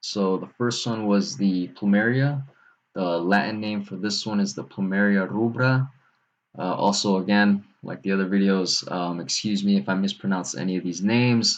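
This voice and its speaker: Quietly, a man speaks at a moderate pace. His pitch is fairly low, with ordinary pitch variation. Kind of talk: casual video talk. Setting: at home, late at night. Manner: quiet, held back; halting, many fillers.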